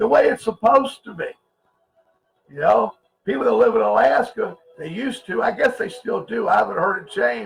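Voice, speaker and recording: Shouting at a fairly quick pace, a man makes big swings in loudness and leaves long, frequent pauses, with music in the background. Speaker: conspiracy livestream host. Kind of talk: livestream talk to chat viewers. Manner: loud, sounds like yelling; animated, emphatic.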